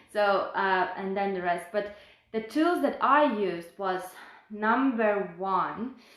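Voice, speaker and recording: In a room with audible echo, a woman speaks at a very slow pace with lively intonation. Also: medium pitch for a woman. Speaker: health and fitness coach. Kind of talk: personal testimony on a live stream.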